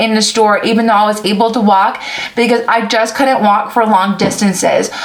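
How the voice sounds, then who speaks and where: The voice moves at a moderate pace through audible room echo and noticeable background noise. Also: woman. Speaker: vlogger sharing surgery recovery. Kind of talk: casual vlog with Q&A. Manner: casual with frequent fillers.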